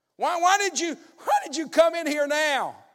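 At a fairly slow pace, a man speaks with a Southern US accent. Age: 60s. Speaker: pastor. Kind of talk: sermon. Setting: church.

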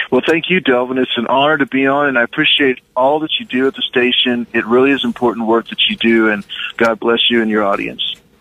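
A man with an American accent, a normal speaking voice, and hardly any pauses. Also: medium pitch for a man, ordinary pitch variation, fairly quick pace. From US Midwest, southwest Kansas. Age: young. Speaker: film director and producer. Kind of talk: radio interview.

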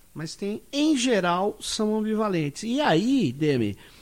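A man's high-pitched, lively voice at a fairly slow pace, on a very clean recording with a silent background. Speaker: podcast host, sociologist. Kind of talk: panel discussion.

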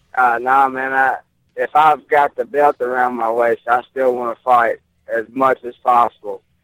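Speaking in a Southern US accent, a man talks at a moderate pace with monotone, flat intonation in a dry, close sound with no echo. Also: medium pitch for a man. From Mississippi, US South. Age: 20s. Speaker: professional MMA fighter. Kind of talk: interview.

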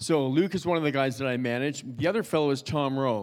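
Speaking at a fairly quick pace with a Canadian accent, a man uses a medium pitch and an animated tone. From Canada, Toronto. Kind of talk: church talk to congregation. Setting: church with audience.

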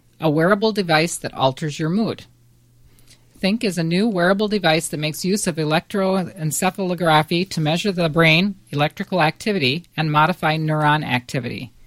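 At a fairly quick pace, an ordinary speaking voice shows ordinary pitch variation, with a dry, close sound and no echo. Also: woman, fairly low pitch for a woman. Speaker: quiz show panelist. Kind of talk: casual chat.

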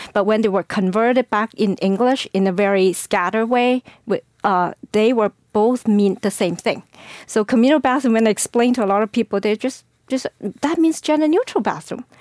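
Delivered at a fairly quick pace with ordinary pitch variation, the voice keeps a very even loudness in a dry, close sound with no echo. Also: woman, fairly high pitch for a woman. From China. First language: Chinese. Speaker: school board candidate. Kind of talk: interview. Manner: halting.

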